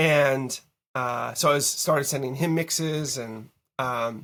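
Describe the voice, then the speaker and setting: A man with an American accent uses an unremarkable speaking voice. He talks at a medium pitch with fairly even intonation. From Massachusetts, Boston area. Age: 40s. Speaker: music producer. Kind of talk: casual interview. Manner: casual, filler-heavy.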